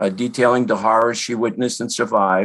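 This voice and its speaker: With an American accent and a plain, everyday voice, a man talks at medium pitch with ordinary pitch variation on a very clean recording with a silent background. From New York. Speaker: son of a Holocaust survivor. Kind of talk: introductory speech.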